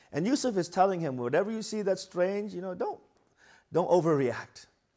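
Against a quiet background, a man speaks at a moderate pace with lively intonation. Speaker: religious lecturer. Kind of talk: lecture. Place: hall. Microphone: lapel.

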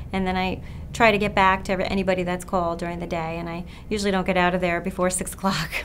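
The speaker talks at a very fast pace with an American accent and monotone, flat intonation. There is light background noise. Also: woman. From Long Island, New York. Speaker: physician. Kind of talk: interview answers. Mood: warm, earnest. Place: office.

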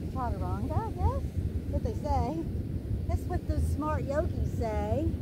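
A woman at a fairly slow pace, dry sound with no echo, amid loud background noise. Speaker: yoga instructor. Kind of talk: casual vlog chat and yoga class instruction. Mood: upbeat, grateful. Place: beach.

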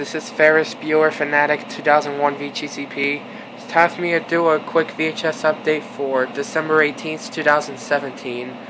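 A man speaks in a flat monotone. Noticeable background noise runs behind him. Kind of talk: casual vlog chat. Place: home room. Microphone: phone near.

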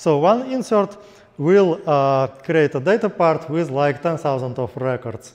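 A man at a fairly slow pace with lively intonation, over a quiet background. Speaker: conference presenter. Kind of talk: lecture. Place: hall.

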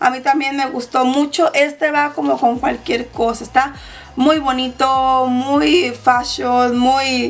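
A woman speaks at a high pitch and a slow pace, with few pauses. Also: fairly even intonation.

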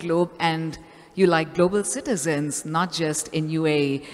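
This woman's voice sits at a fairly low pitch. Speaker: event host. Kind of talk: event hosting speech. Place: hall. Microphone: handheld.

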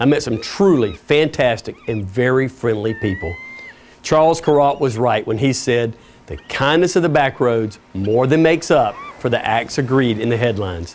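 The speaker has lively intonation and a moderate pace, with light background noise. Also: man. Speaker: TV presenter. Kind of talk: TV travel show host presentation. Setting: outdoors. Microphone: lapel.

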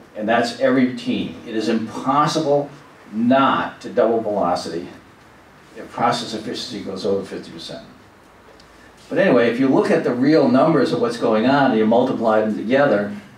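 A man at a moderate pace with ordinary pitch variation, in audible room echo. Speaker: presenter. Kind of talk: lecture. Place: meeting room.

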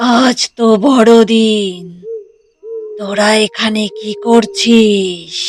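This cartoonish character voice sits at a fairly high pitch. It moves at a very slow pace. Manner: cold, ominous.

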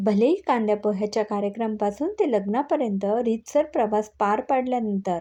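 Ordinary pitch variation carried by an unforced reading voice

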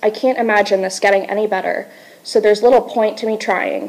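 This is a woman speaking. Her intonation is monotone and flat. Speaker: presenter. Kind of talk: class presentation. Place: classroom. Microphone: camera far.

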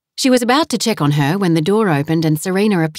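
The intonation sounds lively. It is plain reading aloud.

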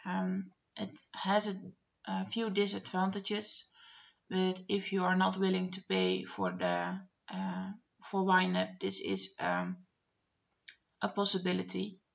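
Woman with a Dutch accent at a very slow pace, long, frequent pauses throughout. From Netherlands. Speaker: budgeting vlogger. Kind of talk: screen-share tutorial narration. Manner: hesitant, many filler words. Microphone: webcam.

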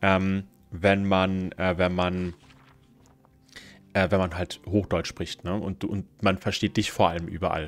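Faint music plays in the background as a man speaks with a very deep, low pitch. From southern Baden-Württemberg, Germany. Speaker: gaming streamer. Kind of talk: live gameplay commentary. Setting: live stream. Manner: casual, hesitant with fillers. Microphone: studio mic.

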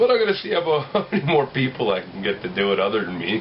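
An ordinary speaking voice at a fairly quick pace, with fairly even intonation over light background noise. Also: man. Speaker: vlogger. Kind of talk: casual vlog chat. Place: home room. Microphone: webcam.

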